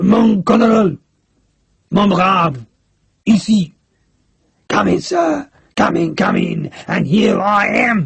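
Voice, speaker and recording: Putting on a raspy character voice, a man speaks very slowly at a high pitch. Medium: read story. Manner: jovial, effusive.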